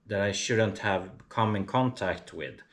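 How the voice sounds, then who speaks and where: A man speaks with monotone, flat intonation. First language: not English. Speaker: artist and vlogger. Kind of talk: casual vlog monologue. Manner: halting, many fillers.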